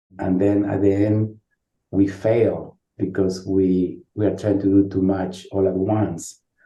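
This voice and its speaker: A man's fairly low, somewhat breathy voice in a Spanish accent, dark and mellow in tone, with monotone, flat intonation. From Uruguay. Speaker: social work professor. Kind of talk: interview. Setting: podcast. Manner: halting, with frequent repetitions.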